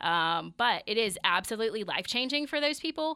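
Captured on a very clean recording with a silent background, a woman with a Mississippi accent talks in a bright, sharp tone with lively intonation. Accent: Southern US (Mississippi). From US South, Meridian, Mississippi. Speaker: physical therapist and clinic owner. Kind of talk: radio interview.

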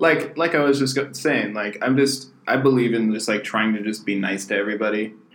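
A man with an American accent speaks at a fairly quick pace with hardly any pauses and ordinary pitch variation, over noticeable background noise. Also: medium pitch for a man. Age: 20s. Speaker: podcast co-host and booking agent. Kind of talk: casual chat.

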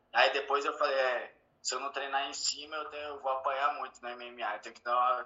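At a moderate pace, a man uses a plain, everyday voice with a medium pitch and fairly even intonation. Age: 30s. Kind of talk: interview.

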